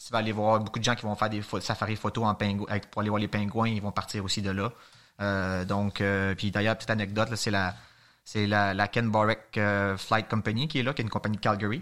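Monotone and flat, a man's voice moves at a fairly quick pace. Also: fairly low pitch for a man, very clean recording, silent background. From Quebec, Montreal. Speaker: mountaineer. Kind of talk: casual interview.

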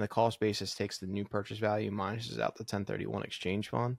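Dry, close sound with no echo carries a man's fairly low voice with vocal fry. He speaks with an American accent. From upstate New York and New Jersey. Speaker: podcast co-host, engineer. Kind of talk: casual chat.

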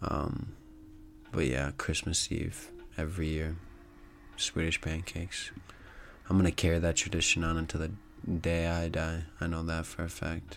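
A man's very deep, low voice with vocal fry, at a moderate pace with long, frequent pauses. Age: 20s. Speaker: solo podcaster. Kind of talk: casual monologue. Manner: casual.

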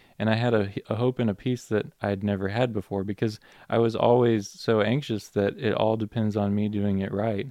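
In an American accent, the speaker talks at a moderate pace with monotone, flat intonation, the sound dry and close with no echo over a quiet background. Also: man. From Minnesota, US. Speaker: automotive engineer. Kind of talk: testimony. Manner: halting, many fillers.

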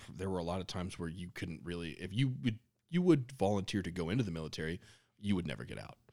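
A man with a very deep, low pitch and vocal fry talks at a very fast pace with lively intonation. His loudness swings widely in a very clean recording with a silent background. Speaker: podcast co-host. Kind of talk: casual chat.

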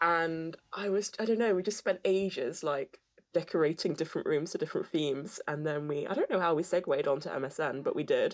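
A woman with a plain, everyday voice talks at a fairly quick pace, fairly low in pitch with ordinary pitch variation. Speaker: podcast host. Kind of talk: casual chat.

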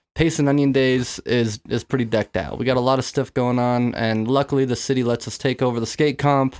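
Recorded with a dry, close sound and no echo, a man with an ordinary speaking voice and medium pitch talks fairly quickly, with fairly even intonation and hardly any pauses. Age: 20s. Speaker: podcast co-host, clothing brand co-founder. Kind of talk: casual chat. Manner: casual, profane.

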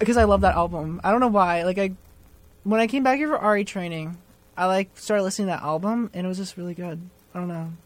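A woman's very fast, animated delivery at medium pitch with an American accent and ordinary pitch variation. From New Jersey. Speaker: college student, resident assistant. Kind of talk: casual chat. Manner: animated, jokey.

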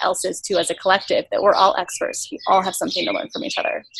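Very rapid female speech against clearly audible background noise. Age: 20s. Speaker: entrepreneur and camp founder. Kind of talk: casual interview. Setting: remote interview from a farm.

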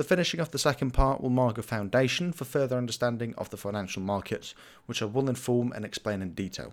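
The recording is very clean, with a silent background. A man at a medium pitch speaks at a very fast pace with ordinary pitch variation. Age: 20s. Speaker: finance podcast host. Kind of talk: scripted monologue. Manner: formal.

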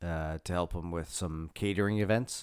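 In a Canadian accent, a man with a very deep, low pitch speaks at a moderate pace with fairly even intonation on a very clean recording with a silent background. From Canadian East Coast. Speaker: podcast co-host. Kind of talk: casual chat. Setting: home office studio.

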